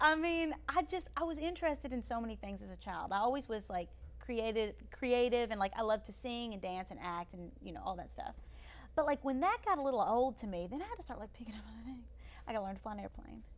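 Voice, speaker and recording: A woman with a Kentucky accent talks at a very fast pace. Her tone is animated, with big swings in loudness. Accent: Southern US (Kentucky). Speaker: YouTuber and former beauty queen. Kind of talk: casual chat.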